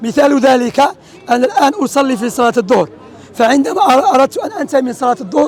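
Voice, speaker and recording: With crowd noise in the background, a man with an Algerian accent talks at a fairly quick pace, his extremely high voice carrying lively intonation. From Algeria, Oran. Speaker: street preacher. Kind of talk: religious teaching in street discussion.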